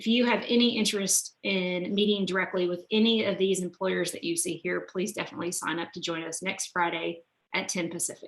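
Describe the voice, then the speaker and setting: Using a put-on character voice that is raspy and medium-pitched, a woman talks at a fairly quick pace with fairly even intonation and hardly any pauses. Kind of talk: professional presenter to an online audience. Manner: talking really fast.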